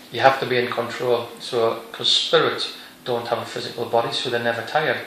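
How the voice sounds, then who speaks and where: Monotone, flat delivery at a fairly quick pace over noticeable background noise. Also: man, medium pitch for a man. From North East England. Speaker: psychic medium. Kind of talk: interview answer.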